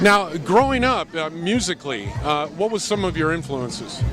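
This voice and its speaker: Amid noticeable background noise, a man speaks at a fairly high pitch and a moderate pace, his pitch swinging very widely. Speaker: on-camera host and voice-over talent. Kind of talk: TV news and interview host delivery.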